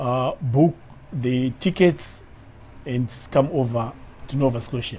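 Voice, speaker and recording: A man speaks at a very slow pace with long, frequent pauses and ordinary pitch variation. His medium-pitched voice is somewhat breathy, with a dark, mellow tone. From Zimbabwe. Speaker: machinist. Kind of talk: interview testimonial.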